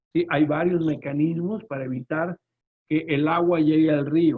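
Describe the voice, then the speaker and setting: This man speaks with a northern Mexican accent. His pitch sits fairly high, and his intonation stays fairly even. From northern Mexico. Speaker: lawyer and trade consultant. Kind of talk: webinar presentation. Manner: fast; loud.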